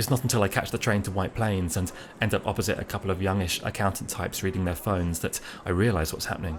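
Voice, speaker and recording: With a British accent, a man talks at a very fast pace and a fairly low pitch. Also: fairly even intonation. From Britain. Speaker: writer reading his own travel pieces. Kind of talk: first-person narration read aloud.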